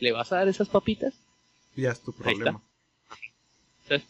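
Fairly quick and high-pitched, a man's voice comes through dry and close with no echo. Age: 20s. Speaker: podcast co-host. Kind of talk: casual chat.

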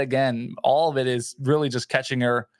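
Fairly even intonation at a fairly quick pace on a very clean recording with a silent background. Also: man. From New Jersey, Edison (Middlesex County). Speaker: radio host and podcaster. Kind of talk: casual chat.

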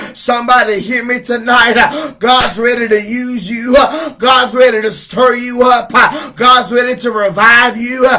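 Extremely high in pitch, a man's raised, projected voice comes through at a fairly slow pace. His intonation is monotone and flat, and there is noticeable background noise. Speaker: evangelist preacher. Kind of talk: sermon. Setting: live broadcast to online viewers. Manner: repetitive, fervent, rhythmic.

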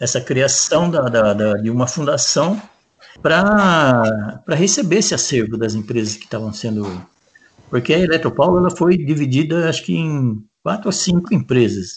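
With very wide pitch swings, a man speaks at a moderate pace in a fairly high voice. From Paraná, Brazil. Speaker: maintenance technician. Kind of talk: interview testimony. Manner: halting, many repetitions.

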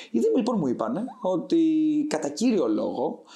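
A man's dark, mellow voice at a moderate pace, with very wide pitch swings. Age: 20s. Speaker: startup founder. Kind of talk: interview.

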